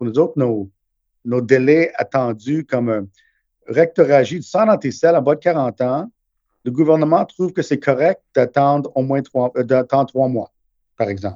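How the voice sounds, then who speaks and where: Dry and close with no echo, the recording captures a man with a fairly high pitch and a dark, mellow tone who speaks at a fairly slow pace, with ordinary pitch variation and long, frequent pauses. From Montreal, Quebec. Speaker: gastroenterologist. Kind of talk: interview.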